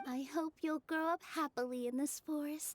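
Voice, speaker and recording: Someone uses a put-on character voice with a warm tone. The pace is moderate. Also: female-sounding voice. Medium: video game. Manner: soft, warm.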